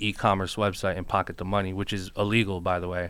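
Speaking at a fairly quick pace with an American accent, this is a plain, everyday voice. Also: man. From New Jersey, Newark. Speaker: podcast host and music producer. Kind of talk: casual chat.

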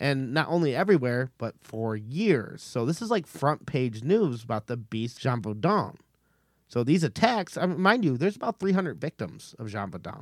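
An animated man at medium pitch makes very wide pitch swings at a moderate pace, recorded very clean with a silent background and a dry, close sound with no echo. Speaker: podcast host. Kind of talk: casual comedic storytelling. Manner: animated, joking.

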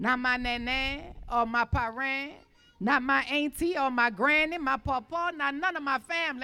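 A woman talks in a high pitch with a bright, sharp tone and ordinary pitch variation. Her raised, projected voice makes big swings in loudness. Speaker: poet and community speaker. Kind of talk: spoken word poetry and speech.

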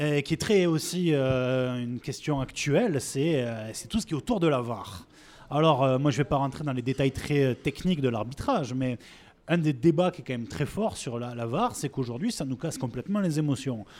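On a very clean recording with a silent background, a man with a fairly high pitch and a plain, everyday voice speaks at a moderate pace with ordinary pitch variation. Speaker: podcast co-host. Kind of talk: live public interview.

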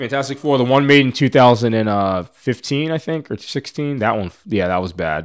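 A man with an American accent, a normal speaking voice, medium pitch, lively intonation and a moderate pace, on a very clean recording with a silent background. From US Northeast, suburban Philadelphia. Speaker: podcast guest. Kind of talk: casual chat.

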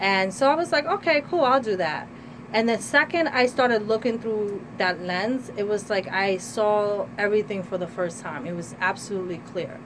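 A woman with an American accent, her pitch swinging very widely over noticeable background noise. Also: medium pitch for a woman, moderate pace. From New Jersey, US. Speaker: artist and women's rights activist. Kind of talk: radio interview. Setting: studio.

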